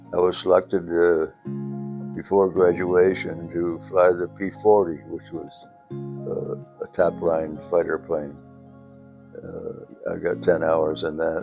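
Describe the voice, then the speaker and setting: The speech moves very slowly, with long pauses coming often and an ordinary amount of pitch variation. Music plays in the background. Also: man, very deep, low pitch for a man. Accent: American. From upstate New York. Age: 80s+. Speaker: war veteran, former fighter pilot. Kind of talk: interview answer.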